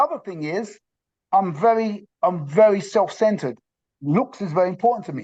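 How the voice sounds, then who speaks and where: A man talks in a high pitch at a moderate pace with lively intonation. His loudness swings widely against a quiet background. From England, London. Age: 60s. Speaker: interviewee sharing diet story. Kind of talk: testimony. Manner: halting, many fillers.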